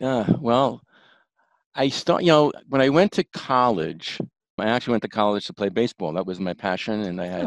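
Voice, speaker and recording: Against a quiet background with a dry, close sound and no echo, a man with a Bronx accent talks at a moderate pace and medium pitch with lively intonation. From New York, the Bronx. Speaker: chiropractor. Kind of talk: interview.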